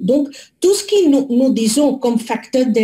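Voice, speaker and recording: A woman speaks very slowly in a non-native accent with a high pitch and a dark, mellow tone. Her pitch swings very widely. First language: not French (speaking French). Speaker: public health researcher. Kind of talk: webinar presentation. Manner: halting, many hesitations.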